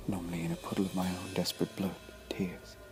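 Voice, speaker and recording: The speaking pace is moderate. Music plays in the background. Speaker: amateur horror story reader. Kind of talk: horror story reading.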